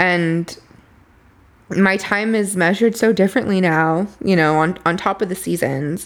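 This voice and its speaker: A woman's ordinary speaking voice with an American accent, medium pitch, ordinary pitch variation, very even loudness and a fairly slow pace. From Boyle Heights, Los Angeles. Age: 30s. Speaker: apothecary owner and tarot reader.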